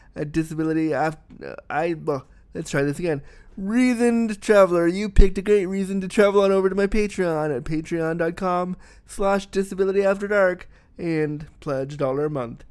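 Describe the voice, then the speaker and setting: A man speaks at a moderate pace in a high voice with ordinary pitch variation. The recording is very clean, with a silent background. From born outside Canada, raised in Canada. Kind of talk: casual interview. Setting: home studio. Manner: animated, profane.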